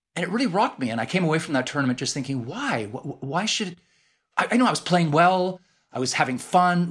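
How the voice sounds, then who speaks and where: Lively intonation marks a man speaking at a very fast pace. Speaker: author and former journalist. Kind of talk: casual interview chat. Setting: remote call from London.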